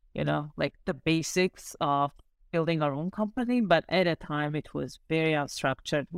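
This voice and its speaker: Woman with an Armenian accent, fairly low pitch, ordinary pitch variation, and moderate pace, in a dry, close sound with no echo and a very clean recording over a silent background. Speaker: startup founder. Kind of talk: casual interview.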